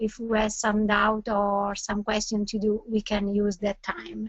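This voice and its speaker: Speaking at a fairly slow pace, a woman with an Italian accent uses a fairly high pitch. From Italy. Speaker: neurologist. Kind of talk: webinar lecture. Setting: online webinar. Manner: halting.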